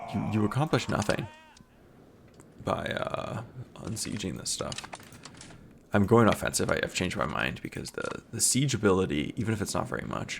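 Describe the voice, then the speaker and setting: Over noticeable background noise, a man talks fairly quickly at a fairly low pitch with very wide pitch swings. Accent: American. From American, grew up partly overseas. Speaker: video game let's play creator. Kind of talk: casual gameplay commentary. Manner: casual, many fillers and repetitions.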